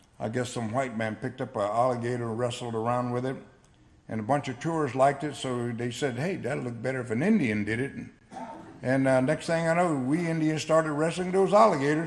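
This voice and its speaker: With audible room echo, a man talks at a fairly quick pace, his medium pitch showing ordinary variation. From South Florida, Seminole. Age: 60s. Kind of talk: award acceptance speech. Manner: halting, conversational.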